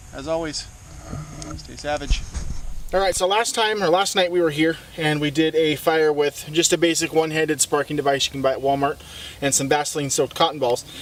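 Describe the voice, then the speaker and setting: Against noticeable background noise, a man with a fairly high pitch speaks at a fairly quick pace with fairly even intonation. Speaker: outdoor survival instructor. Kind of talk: tutorial. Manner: quiet, hushed.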